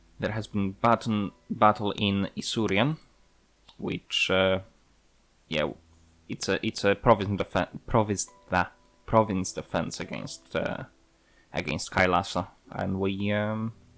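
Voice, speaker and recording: A man's fairly low voice at a fairly slow pace, with long, frequent pauses, big swings in loudness and music in the background. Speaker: gaming video creator. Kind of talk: gameplay commentary. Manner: monotone; halting, many fillers.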